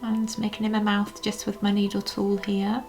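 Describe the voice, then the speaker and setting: Fairly even in intonation, a woman speaks with music in the background. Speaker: polymer clay sculptor, YouTuber. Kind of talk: casual chat while working. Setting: home studio. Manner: halting, many fillers.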